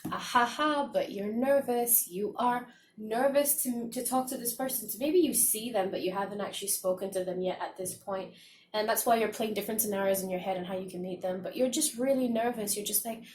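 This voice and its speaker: Speech comes at a fairly quick pace with ordinary pitch variation. There's a somewhat breathy quality to the voice. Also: woman, fairly high pitch for a woman. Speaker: tarot reader. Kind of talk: tarot reading to camera. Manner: soft-spoken.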